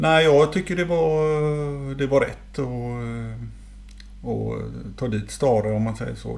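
Audible room echo surrounds the voice. It belongs to a man. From Sweden, Gothenburg. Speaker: former professional footballer. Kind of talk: casual interview.

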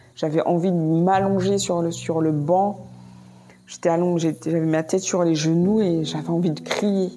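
Over noticeable background noise, a woman speaks at a fairly slow pace with very even loudness and a monotone, flat intonation. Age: 30s. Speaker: nurse. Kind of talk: testimony. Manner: halting.

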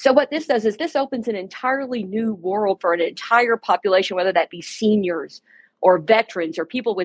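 A woman's ordinary speaking voice, fairly high, with an American accent, lively intonation and a fairly quick pace, in a dry, close sound with no echo over a quiet background. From US. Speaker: organization CEO guest. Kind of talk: interview.

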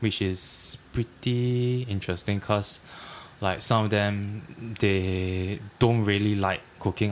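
The man speaks with a Singaporean accent at a fairly low pitch. His intonation is monotone and flat. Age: 20s. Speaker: trainee chef. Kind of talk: casual chat.

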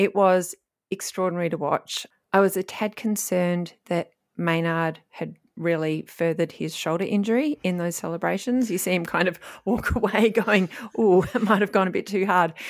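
An Australian accent comes through in a very clean recording with a silent background. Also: woman, medium pitch for a woman, ordinary pitch variation, moderate pace. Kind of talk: casual chat.

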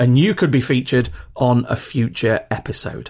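Fairly slow speech in a British accent on a very clean recording with a silent background. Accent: regional British English, rough. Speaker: podcast host. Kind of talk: solo podcast monologue with practical tips. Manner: casual, chatty, filler words.

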